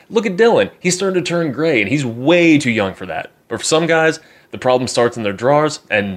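Lively intonation marks a man's fast-moving delivery at a fairly quick pace in a normal speaking voice. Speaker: podcast host. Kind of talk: pitchman ad read. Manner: mock-salesman, hyped and tongue-in-cheek.

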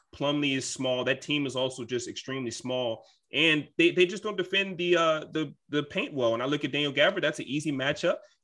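A man's normal speaking voice, fairly high in pitch, with ordinary pitch variation, a fairly quick pace and hardly any pauses. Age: 20s. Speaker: basketball team insider. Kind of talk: casual chat.

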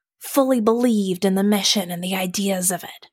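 An unremarkable speaking voice goes at a moderate pace. The recording is very clean with a silent background and a dry, close sound with no echo. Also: woman. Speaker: game designer and player. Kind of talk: casual role-playing game chat. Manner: upbeat.

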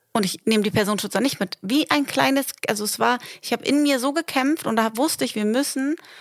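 A woman with an ordinary speaking voice talks at a fairly quick pace with ordinary pitch variation, in a dry, close sound with no echo. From northern Germany, Delmenhorst. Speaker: podcast co-host. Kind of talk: casual chat. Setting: in bed at home.

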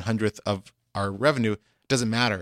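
A man talks in a normal speaking voice, at a fairly low pitch and moderate pace. His intonation is fairly even, and the recording is very clean with a silent background. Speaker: talent manager. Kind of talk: casual interview chat.

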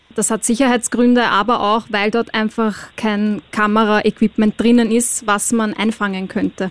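A woman with an Austrian accent speaks fairly slowly at a fairly high pitch, in a monotone, flat intonation. Her loudness stays very even, with hardly any pauses, and the sound is dry and close with no echo. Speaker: reality TV contestant. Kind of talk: casual chat. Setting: studio.

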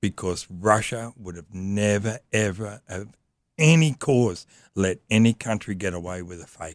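A man with an Australian accent, fairly low pitch and ordinary pitch variation, at a fairly slow pace. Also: dry, close sound with no echo, very clean recording, silent background. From Australia, Sydney. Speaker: motorcycle traveller. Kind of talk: casual chat.

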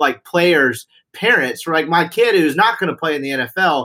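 A bright, sharp tone at a fairly quick pace. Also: man. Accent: Southern US. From Mississippi. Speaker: podcast co-host. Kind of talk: casual podcast chat.

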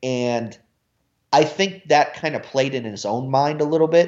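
A man with an American accent and a plain, everyday voice talks at a moderate pace in a fairly high pitch. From US Midwest, Cincinnati. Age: 30s. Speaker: college basketball recruiting analyst. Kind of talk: casual chat.

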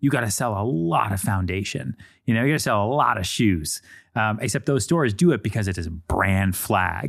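A man with an ordinary speaking voice talks fairly quickly at a fairly low pitch, his intonation lively. The recording is very clean with a silent background. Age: 30s. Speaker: podcast host and real estate agent. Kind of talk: casual chat.

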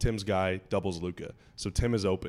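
Over a silent background in a very clean recording, a hoarse man talks at a fairly quick pace with fairly even intonation. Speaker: podcast host. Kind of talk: casual chat. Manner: joking, conversational.

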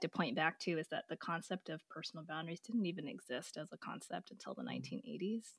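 Delivered at a fairly quick pace with lively intonation, a normal speaking voice with an American accent comes through dry and close, with no echo, in a very clean recording with a silent background. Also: woman. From US West Coast. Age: 40s. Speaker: pediatric oncologist and author. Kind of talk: interview, casual conversational.

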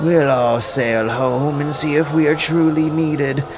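Over loud background noise, a man with a shrill, fairly high-pitched voice speaks at a moderate pace. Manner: railing, insolent.

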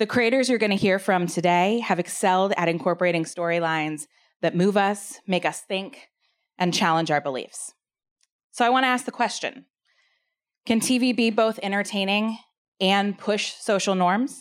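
This woman has an ordinary speaking voice with a medium pitch and ordinary pitch variation. She talks at a moderate pace on a very clean recording with a silent background. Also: very even loudness. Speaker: panel moderator. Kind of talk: moderated panel. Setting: stage with audience.

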